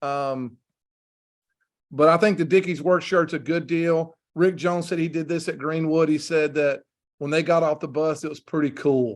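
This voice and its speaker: This man has a Southern US accent and a fairly high pitch. He talks at a moderate pace with fairly even intonation. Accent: US South. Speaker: football coach. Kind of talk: presentation rehearsal.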